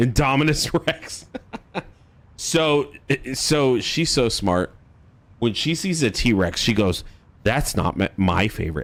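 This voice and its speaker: A man's medium-pitched voice with vocal fry and very wide pitch swings, at a very slow pace with long, frequent pauses. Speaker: streamer. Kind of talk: casual chat. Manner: halting.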